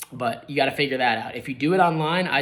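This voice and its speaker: A man with a fairly high pitch at a very fast pace, over noticeable background noise. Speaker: real estate agent. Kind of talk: tutorial. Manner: casual, filler-heavy.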